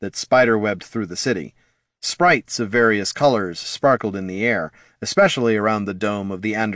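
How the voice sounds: A natural reading voice with ordinary pitch variation comes through over a quiet background.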